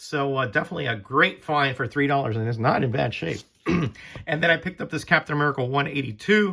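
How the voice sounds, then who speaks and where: A man speaks with a bright, sharp tone and ordinary pitch variation. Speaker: comic collector YouTuber. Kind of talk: casual haul video. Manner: casual, hesitant with fillers.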